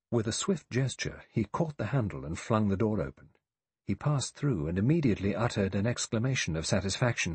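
Lively intonation runs through an unforced reading voice, with the background staying quiet.

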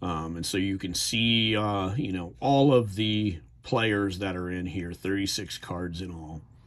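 A man's fairly low voice with an American accent, very slow, with ordinary pitch variation. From New Jersey. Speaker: YouTuber reviewing trading cards. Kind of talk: casual video review. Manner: hesitant, many fillers. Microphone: phone near.

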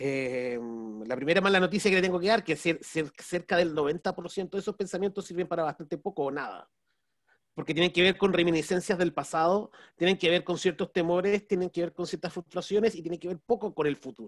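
Against a quiet background with a dry sound and no echo, a man speaks at a high pitch and a fairly quick pace with ordinary pitch variation. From Chile. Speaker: business strategy consultant and speaker; speaker. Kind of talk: webinar talk. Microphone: video call.

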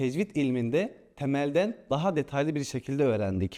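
Lively intonation runs through a dark, mellow tone at a moderate pace. The recording is very clean, with a silent background. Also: man. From Turkey, Ankara. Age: 20s. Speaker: trainee imam. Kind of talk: interview testimonial. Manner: formal.

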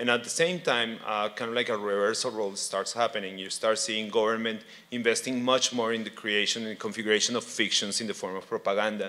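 A man with a Spanish accent at a very fast clip, fairly even intonation and hardly any pauses. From Colombia. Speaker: artist and art lecturer; art lecturer. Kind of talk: panel presentation. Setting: stage with audience. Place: hall. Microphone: handheld.

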